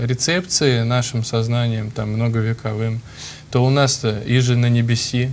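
The man's voice sits at a medium pitch, moving at a fairly slow pace with fairly even intonation over light background noise. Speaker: priest. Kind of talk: talk show discussion. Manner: halting. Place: studio. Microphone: lapel.

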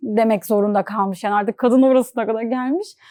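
Recorded dry and close with no echo, a woman talks at a fairly quick pace. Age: 20s. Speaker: content creator with albinism. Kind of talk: interview.

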